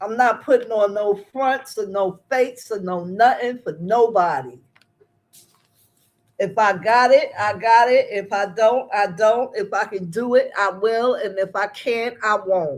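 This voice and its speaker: This woman talks at a fairly slow pace, with a fairly high pitch and ordinary pitch variation. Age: 60s. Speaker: YouTube livestream host. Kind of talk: casual live chat recap. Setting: livestream. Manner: animated.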